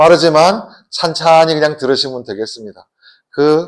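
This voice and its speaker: A man with a fairly high voice talks at a fairly slow pace. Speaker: guest pastor. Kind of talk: sermon. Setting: church.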